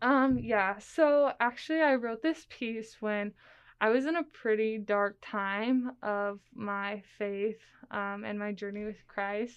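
A woman talks very slowly, her fairly high voice rising and falling in a normal way. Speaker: nursing student and writer. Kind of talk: interview with reading aloud of own writing.

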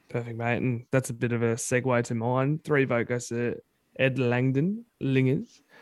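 Delivered at a moderate pace, a man's medium-pitched voice with an Australian accent keeps fairly even intonation. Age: 30s. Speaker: football fan podcast co-host. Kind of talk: casual chat.

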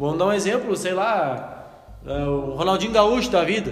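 Music plays in the background as a man speaks with lively intonation and audible room echo. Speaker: podcast host interviewing local football club. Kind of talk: casual interview.

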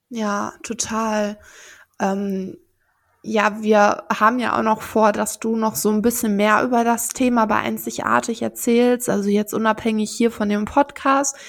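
A woman's monotone, flat delivery at a fairly slow pace in a very clean recording with a silent background. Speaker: podcast host. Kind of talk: interview.

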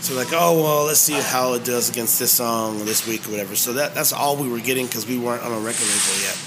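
A man with an American accent talks at a very fast pace with hardly any pauses, his medium pitch varying in an ordinary way. Noticeable background noise can be heard. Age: 50s. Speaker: musician and restaurant owner. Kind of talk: interview. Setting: hot dog shop.

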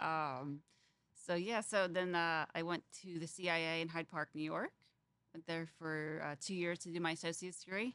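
In an ordinary speaking voice, a woman talks at a fairly quick pace with fairly low pitch and fairly even intonation, recorded very cleanly with a silent background and a dry, close sound with no echo. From Fort Wayne, Indiana. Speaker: chef. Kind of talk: interview. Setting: restaurant.

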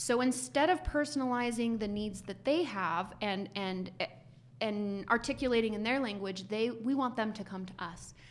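Speaking at a moderate pace with an American accent, a woman has a normal speaking voice, pitched fairly high. Her intonation is lively. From US. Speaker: HR executive. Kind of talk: casual chat.

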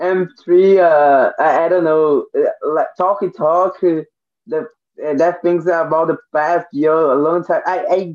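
The speaker has a Portuguese accent, fairly even intonation, and a fairly slow pace. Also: man, high pitch for a man. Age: 20s. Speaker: language learner. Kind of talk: casual chat. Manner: halting.

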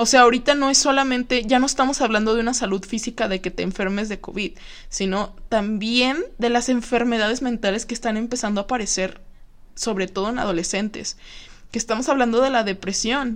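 A woman speaks with a Mexican accent and a fairly high pitch. Her intonation is fairly even, and the background is quiet. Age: 20s. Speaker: podcast host, psychology student. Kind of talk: casual solo podcast monologue. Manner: chatty, frequent laughter.

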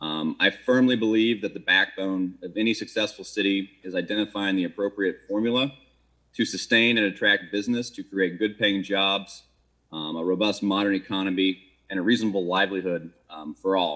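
Delivered in an American accent, this is an ordinary speaking voice, a man talking at a fairly quick pace with fairly even intonation. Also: fairly low pitch for a man. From Maryland. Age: 40s. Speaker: city council candidate, restaurateur. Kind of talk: candidate forum answers.

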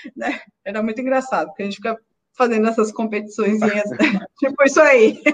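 The talking moves at a fairly quick pace. Long, frequent pauses break it up. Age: 30s. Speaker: cellist. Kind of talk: casual chat.

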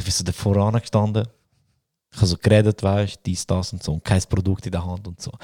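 A man with a Swiss accent speaks at a very fast pace, his pitch fairly low and his tone dark and mellow. The sound is dry and close with no echo, in a very clean recording with a silent background. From Switzerland. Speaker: podcast host. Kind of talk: casual chat. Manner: animated.

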